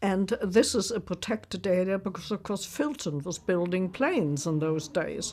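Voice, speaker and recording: At a fairly slow pace, a woman with a German accent speaks at a medium pitch with ordinary pitch variation and a dark, mellow tone, on a very clean recording with a silent background. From Germany, Berlin. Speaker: war survivor, retired nurse. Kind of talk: testimony.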